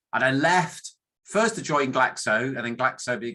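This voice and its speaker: A man with a northern English accent and a bright, sharp tone, at moderate pace with ordinary pitch variation, on a very clean recording with a silent background. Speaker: academic statistician. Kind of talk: conference talk. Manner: halting, many fillers.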